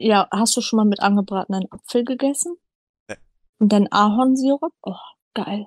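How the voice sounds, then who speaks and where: The somewhat breathy voice moves at a moderate pace with ordinary pitch variation and long, frequent pauses, in a dry, close sound with no echo. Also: woman, fairly high pitch for a woman. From northern Germany, Hamburg. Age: 20s. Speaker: podcast co-host, retail worker. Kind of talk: casual chat.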